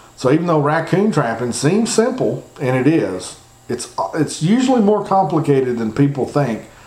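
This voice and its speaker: Someone with an American accent talks at a moderate pace, the pitch swinging very widely. The room echo is audible and the background noise is noticeable. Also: man, fairly high pitch for a man. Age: 40s. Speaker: trapping podcast host. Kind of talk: instructional talk. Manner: casual, repetitive phrasing.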